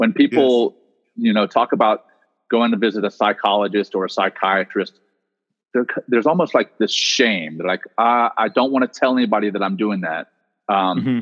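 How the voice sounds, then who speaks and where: A man with an American accent and a plain, everyday voice, medium in pitch with ordinary pitch variation, at a fairly quick pace. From US South, Louisiana. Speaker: former Navy SEAL commander and meditation teacher. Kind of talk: interview conversation.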